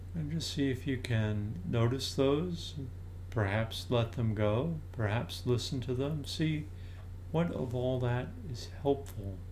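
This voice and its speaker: A man speaks at a very slow pace in a calm, gentle tone, his medium-pitched voice somewhat breathy and his intonation lively. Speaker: meditation teacher. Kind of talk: guided meditation. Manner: slow, soft-spoken, calm and unhurried with long pauses; gentle, inviting, soothing tone.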